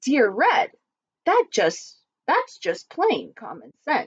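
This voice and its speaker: A woman puts on a character voice, high in pitch, with very wide pitch swings and a very slow pace. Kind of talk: picture book read-aloud. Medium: read story.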